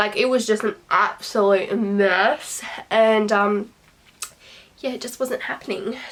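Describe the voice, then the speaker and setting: With noticeable background noise behind her, a woman speaks at a very slow pace with a fairly high pitch, fairly even intonation, and long, frequent pauses. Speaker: beauty vlogger. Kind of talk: casual chat.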